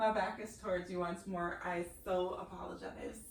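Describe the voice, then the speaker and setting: Calm in tone, a woman speaks at a fairly slow pace with ordinary pitch variation and audible room echo. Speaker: yoga instructor. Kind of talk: guided yoga class instruction. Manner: quieter, lowered voice as practice slowed; instructional, calm pacing.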